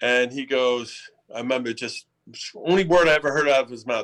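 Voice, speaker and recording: A man with an unremarkable speaking voice, a medium pitch, ordinary pitch variation and a moderate pace. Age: 60s. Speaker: actor. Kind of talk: casual interview.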